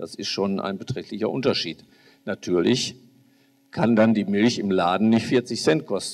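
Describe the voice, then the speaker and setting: A man speaks at a fairly slow pace, with long, frequent pauses. His voice sits fairly low, with ordinary pitch variation. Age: 60s. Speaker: farmer and politician; politician. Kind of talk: panel discussion. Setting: stage with audience. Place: hall. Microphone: handheld.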